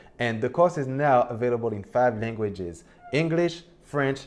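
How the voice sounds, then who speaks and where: A man with a non-native accent speaks at a moderate pace, his pitch swinging very widely. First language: not English. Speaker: online business youtuber. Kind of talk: Q&A explainer video. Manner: casual, conversational.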